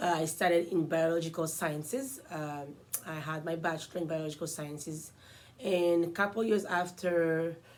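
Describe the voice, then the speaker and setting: In an Ivorian accent, a woman speaks at a moderate pace and a fairly low pitch with ordinary pitch variation. Audible room echo surrounds her voice. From Ivory Coast. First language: French. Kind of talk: casual self-introduction vlog.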